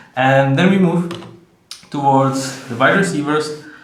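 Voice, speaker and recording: A very slow man with a Czech accent, fairly high pitch, ordinary pitch variation and audible room echo. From Czech Republic. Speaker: sports video host. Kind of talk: solo commentary video. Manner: halting, many fillers.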